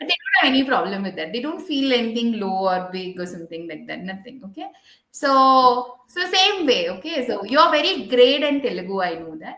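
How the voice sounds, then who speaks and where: Her voice high, a woman speaks at a fairly quick pace with very wide pitch swings and big swings in loudness. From India. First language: an Indian language. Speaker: podcast host, physiotherapist. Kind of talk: interview podcast chat. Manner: animated.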